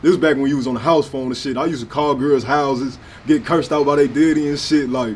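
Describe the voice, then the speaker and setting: A man speaks over noticeable background noise. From US Midwest, St. Louis north side. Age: 20s. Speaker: rapper. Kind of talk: interview. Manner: casual, animated.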